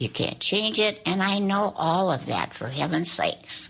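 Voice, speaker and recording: A woman's voice with vocal fry and lively intonation at a moderate pace. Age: 90s. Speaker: elderly interviewee sharing depression story. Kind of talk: reading aloud personal testimony.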